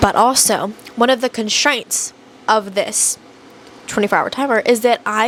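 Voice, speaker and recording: Noticeable background noise surrounds speech delivered at a moderate pace. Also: woman. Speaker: booktuber. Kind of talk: casual vlog. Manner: animated.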